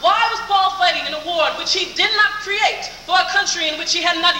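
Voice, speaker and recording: Over noticeable background noise, a woman with an extremely high pitch uses a raised, projected voice at a fairly quick pace and with fairly even intonation. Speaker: pageant contestant giving an oratory. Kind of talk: original oratory speech. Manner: earnest, persuasive, declamatory.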